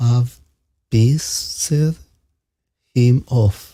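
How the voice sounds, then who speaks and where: Somewhat breathy, with a dark, mellow tone, a man speaks with a non-native accent. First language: not English. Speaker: stream panelist. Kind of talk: casual chat. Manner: halting.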